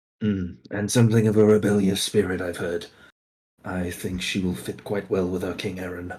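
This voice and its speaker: A put-on character voice from a man, raspy and very deep in pitch, at a moderate pace. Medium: actual play. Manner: polite, probing.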